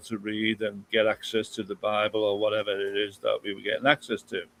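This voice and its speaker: This man speaks with a southern English accent. His pace is moderate. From England, London area. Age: 60s. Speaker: guest speaker. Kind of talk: interview, personal story. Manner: halting.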